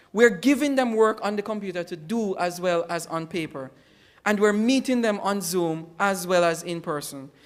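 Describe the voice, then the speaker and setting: The speaker has a Jamaican accent. The pace is moderate. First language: Jamaican Patois. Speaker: educator. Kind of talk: conference presentation.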